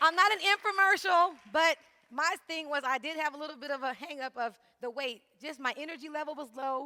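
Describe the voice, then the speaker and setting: A woman speaks in a raised, projected voice with a high pitch and ordinary pitch variation. Her tone is animated, her pace fairly quick, and her loudness swings widely. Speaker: graduate student and fitness instructor. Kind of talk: presentation to audience. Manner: fast.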